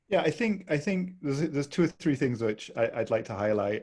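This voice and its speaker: A man with a British accent speaks with very wide pitch swings. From Britain. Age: 40s. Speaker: human rights researcher. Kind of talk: panel discussion. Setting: webinar.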